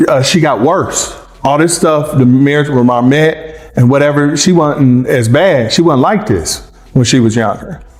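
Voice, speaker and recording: A man with a slight Southern US accent, fairly high pitch and lively intonation, amid noticeable background noise and audible room echo. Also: very even loudness. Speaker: ex-husband interviewed about a celebrity. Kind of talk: interview. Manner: halting.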